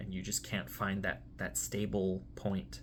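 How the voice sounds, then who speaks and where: A man talks in a fairly low pitch with vocal fry. His pitch swings very widely at a moderate pace. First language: Spanish. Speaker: tarot reader. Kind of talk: tarot reading monologue. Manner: hesitant, with fillers.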